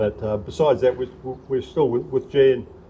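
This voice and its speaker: At a fairly quick pace, a man with a New Zealand accent talks in a somewhat breathy voice. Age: 70s. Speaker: local councillor and former rugby player. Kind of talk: casual interview. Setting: outdoors at a sports park. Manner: halting, many fillers.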